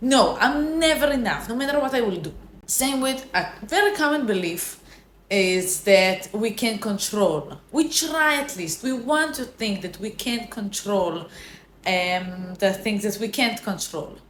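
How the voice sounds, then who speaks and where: Fairly slow, fairly high-pitched woman with a non-native accent and very wide pitch swings, amid noticeable background noise and audible room echo. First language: not English. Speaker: self-help vlogger. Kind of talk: casual motivational talk. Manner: halting, with self-corrections.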